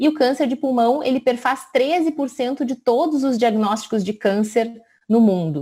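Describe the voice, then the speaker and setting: Her voice high-pitched with a dark, mellow tone, a woman speaks at a moderate pace with ordinary pitch variation. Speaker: physician. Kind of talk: lecture.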